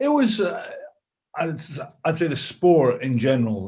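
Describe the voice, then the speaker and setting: Speaking with a Scottish accent, a man sounds somewhat breathy. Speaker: former rugby player and coach. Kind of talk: interview answer.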